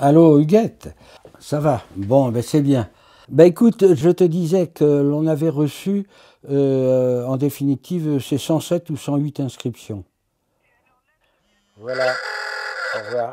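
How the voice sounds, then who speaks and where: A very slow pace with long, frequent pauses, a dark, mellow tone, big swings in loudness, and ordinary pitch variation. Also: man, fairly high pitch for a man. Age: 80s+. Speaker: retired activist and former mayor. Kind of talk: interview testimony. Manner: halting.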